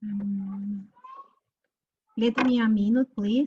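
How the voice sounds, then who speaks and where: Fairly even intonation with a Spanish accent. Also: woman. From Peru. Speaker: feminist sociologist. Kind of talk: panel presentation.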